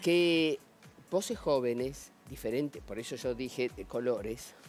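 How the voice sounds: Amid noticeable background noise, a man speaks at a very slow pace.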